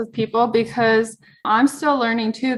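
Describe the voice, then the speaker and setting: This woman has a normal speaking voice, fairly high in pitch, with fairly even intonation. The recording is very clean, with a silent background. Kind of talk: podcast host conversation.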